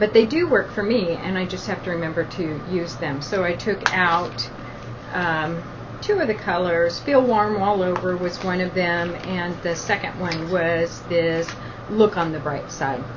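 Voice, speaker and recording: A woman's fairly low voice at a fairly slow pace, with ordinary pitch variation, audible room echo and noticeable background noise. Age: 50s. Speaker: beauty vlogger. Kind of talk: casual product talk to camera. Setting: at the beach.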